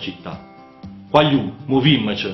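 With a northern Italian accent, a man speaks at a moderate pace with lively intonation. Audible room echo and faint music sit in the background. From Lombardy, northern Italy. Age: 40s. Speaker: mayoral candidate. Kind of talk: political campaign address to camera. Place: studio.

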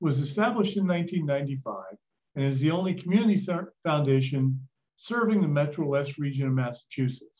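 At a moderate pace, a man with a fairly high pitch sounds somewhat breathy, with lively intonation. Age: old. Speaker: museum CEO and event host. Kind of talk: moderated talk introduction and Q&A. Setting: virtual event video call.

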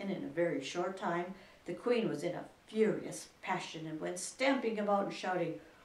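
Here, ordinary pitch variation marks a natural reading voice.

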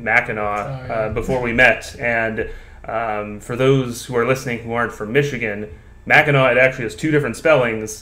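A man talks at a moderate pace with a medium pitch. His tone is bright and sharp, and his intonation is fairly even. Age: 20s. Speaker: podcast host. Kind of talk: casual chat.

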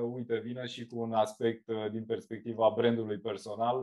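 Against a quiet background, a man talks at a fairly slow pace. His intonation is monotone and flat. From Romania, Galați county (eastern Romania); Romania. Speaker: marketing agency founder, entrepreneur; podcast guest. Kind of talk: interview conversation. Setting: remote video call. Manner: hesitant with many fillers. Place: home room. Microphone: video call.

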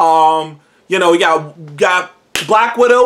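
In quiet surroundings, a man's voice is heard. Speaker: show host. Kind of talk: casual vlog commentary. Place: home room. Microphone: webcam.

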